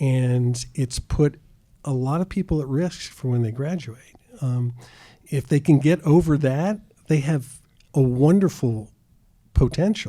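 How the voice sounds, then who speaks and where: At a fairly slow pace with long, frequent pauses, a man speaks in a fairly high, somewhat breathy voice with a dark, mellow tone and ordinary pitch variation. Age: 70s. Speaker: retired optometrist. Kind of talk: interview.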